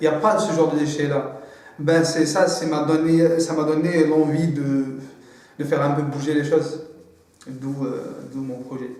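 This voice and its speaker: Audible room echo surrounds a man speaking at a fairly slow pace in a fairly high, monotone, flat voice. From Algeria. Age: 30s. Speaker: student entrepreneur. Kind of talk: testimony. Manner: halting, many repetitions and hesitations.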